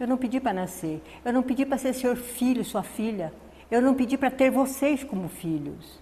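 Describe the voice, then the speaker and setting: Somewhat breathy and dark, mellow in tone, a woman speaks at a fairly slow pace with lively intonation, with audible room echo. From Northeast Brazil. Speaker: spiritist lecturer. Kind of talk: spiritist lecture. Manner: soft-spoken.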